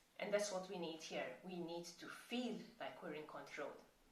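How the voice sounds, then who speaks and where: Speaking in a Maltese accent, a woman uses a fairly low pitch and fairly even intonation at a moderate pace, with audible room echo and noticeable background noise. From Malta. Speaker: chronic pain coach. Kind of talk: tutorial.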